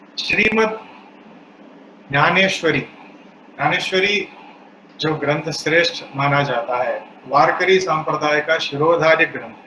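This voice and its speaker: A man's fairly high voice with a South Indian accent and ordinary pitch variation, over noticeable background noise. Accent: South Indian accent in Hindi. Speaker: spiritual speaker. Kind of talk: religious discourse.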